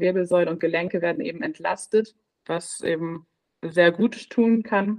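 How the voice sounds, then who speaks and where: A woman's medium-pitched voice. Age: 20s. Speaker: midwife. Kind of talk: interview. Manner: halting.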